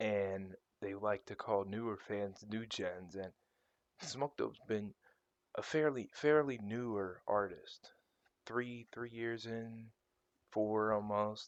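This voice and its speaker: This man talks very slowly and quietly, in a fairly low pitch. His intonation stays fairly even, broken by long, frequent pauses. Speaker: online video creator. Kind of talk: casual rant.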